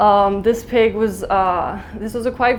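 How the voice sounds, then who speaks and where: A woman with a medium pitch is heard with audible room echo. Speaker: vegan content creator giving a talk. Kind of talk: conference talk. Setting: stage with audience. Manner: fast.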